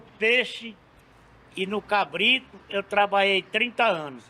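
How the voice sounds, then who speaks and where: A man's raised, projected voice, high in pitch, at a very slow pace. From Brazil, Ceará (Acopiara). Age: 70s. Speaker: street meat vendor. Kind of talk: casual interview.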